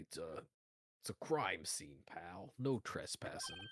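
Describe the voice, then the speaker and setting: A put-on character voice, gruff and raspy at a low-to-middle pitch, moves along at a fairly slow pace. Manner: stern, curt.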